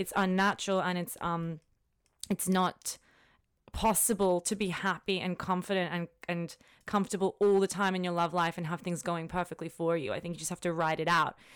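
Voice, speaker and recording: On a very clean recording with a silent background, a woman speaks in an Australian accent. Her fairly low voice stays flat and monotone at a fairly quick pace. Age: 20s. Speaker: lawyer. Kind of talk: casual chat.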